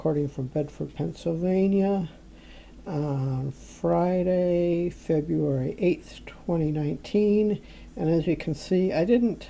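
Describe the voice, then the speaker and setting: A woman with a fairly low pitch and a dark, mellow tone speaks at a very slow pace with ordinary pitch variation over light background noise. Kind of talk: casual cooking commentary. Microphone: phone near.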